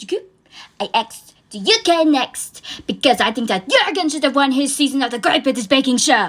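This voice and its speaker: A woman speaks at a moderate pace. Her high voice moves through very wide pitch swings. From France, raised partly in Indonesia. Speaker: comedian. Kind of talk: stand-up.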